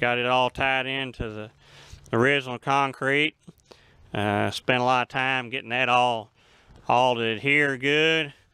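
A man speaks at a fairly slow pace while background music plays. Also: dry sound with no echo. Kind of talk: casual vlog chat. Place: open country. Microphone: phone near.

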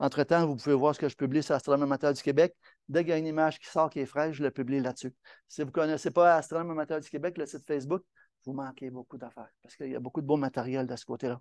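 Talking at a very fast pace, a man keeps his intonation fairly even while his loudness swings widely. The sound is dry and close with no echo, and the background is quiet. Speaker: amateur astronomy club presenter. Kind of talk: lecture.

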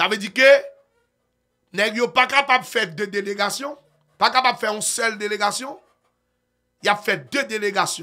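Animated and raised, a man's high voice carries a Haitian accent with ordinary pitch variation and long, frequent pauses, faint music playing behind him. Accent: Haitian Creole-accented French. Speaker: online news commentator. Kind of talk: news commentary. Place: studio. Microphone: studio mic.

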